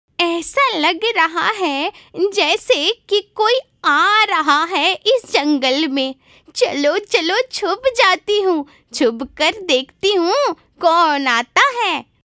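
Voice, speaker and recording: A female-sounding cartoonish character voice speaks very slowly at an extremely high pitch. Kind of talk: cartoon horror voice acting. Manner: sly and mocking.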